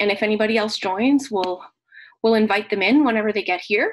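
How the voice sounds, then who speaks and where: Her voice is fairly high-pitched as the woman speaks. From Nova Scotia, Canada (Acadian French). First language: French. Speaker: teacher. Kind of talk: tutorial. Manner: halting.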